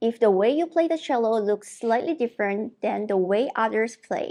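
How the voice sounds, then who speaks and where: A woman speaks at a fairly slow pace with a fairly high pitch. Her tone is dark and mellow, with lively intonation. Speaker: cello professor. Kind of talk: tutorial. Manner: formal.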